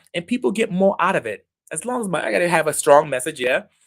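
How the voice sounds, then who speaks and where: A man talks very fast in an energetic tone, his voice pitched high for a man. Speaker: video presence coach. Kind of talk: live stream coaching talk. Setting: home office livestream.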